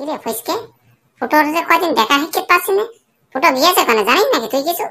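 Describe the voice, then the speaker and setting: High-pitched and squeaky, a cartoonish character voice rattles along at a fairly quick pace. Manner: casual, slangy.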